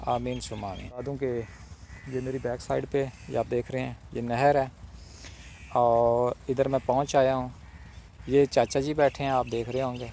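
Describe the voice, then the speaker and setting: With a dark, mellow tone and flat, monotone intonation, a man talks at medium pitch. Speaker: interviewer. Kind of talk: casual talk to camera. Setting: outdoors.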